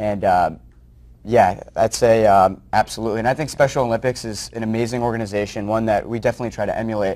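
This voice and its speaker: A man with an American accent talks at a very fast pace. His intonation stays fairly even. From New Jersey. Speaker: nonprofit founder. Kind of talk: interview. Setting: studio. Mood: warm, enthusiastic. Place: studio. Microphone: lapel.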